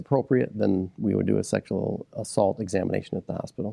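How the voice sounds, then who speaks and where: A man's dark, mellow voice with vocal fry and an American accent, heard as a dry, close sound with no echo. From Michigan, Midland County. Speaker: county sheriff. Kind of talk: interview.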